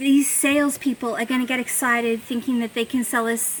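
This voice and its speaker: Noticeable background noise sits behind a woman with an Australian accent and a high pitch. She keeps a moderate pace and fairly even intonation. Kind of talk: casual talk to camera. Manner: rambling, chatty.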